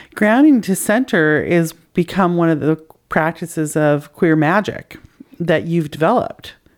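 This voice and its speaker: A woman with an unremarkable speaking voice, fairly low in pitch, at a fairly slow pace, with very even loudness and ordinary pitch variation. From Canada. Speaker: podcast host. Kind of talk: casual interview conversation.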